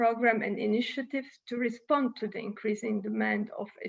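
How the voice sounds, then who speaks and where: This woman's voice is fairly high and somewhat breathy. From Italy. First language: Italian. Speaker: UN official speaker. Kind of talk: conference speech. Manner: halting.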